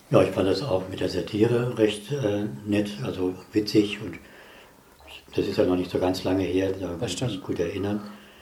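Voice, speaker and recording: Audible room echo surrounds a man speaking at a moderate pace with a fairly low pitch and fairly even intonation. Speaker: physicist. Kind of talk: casual chat. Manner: reserved.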